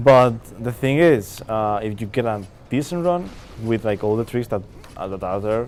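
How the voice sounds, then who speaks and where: A man's fairly low voice with a Spanish accent and lively intonation, at a moderate pace, with audible room echo. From Spain. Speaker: speedrunner. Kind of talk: live commentary while gaming. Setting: stage with live audience. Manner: halting.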